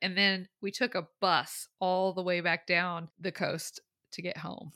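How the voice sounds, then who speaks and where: Fairly slow speech from a woman, bright and sharp in tone, with a dry, close sound and no echo. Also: very clean recording, silent background. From US South. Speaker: podcast co-host. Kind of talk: casual chat.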